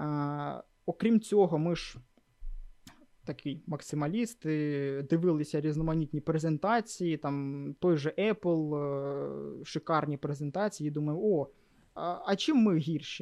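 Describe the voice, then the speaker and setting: Using a dark, mellow tone at a fairly high pitch, a man speaks at a fairly slow pace with long, frequent pauses, ordinary pitch variation and a dry, close sound with no echo. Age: 20s. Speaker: backend developer and group lead. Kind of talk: casual interview.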